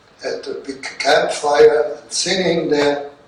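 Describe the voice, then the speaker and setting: Very slow speech from a man, amid noticeable background noise and audible room echo. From Germany, Rhineland. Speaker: war veteran. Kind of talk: talk to students. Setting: classroom with audience.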